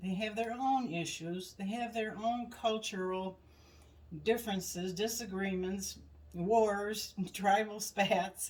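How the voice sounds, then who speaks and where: Very slow and somewhat breathy, a woman speaks at a medium pitch with fairly even intonation. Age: 70s. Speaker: podcast co-host. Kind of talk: casual chat. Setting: in-person at home.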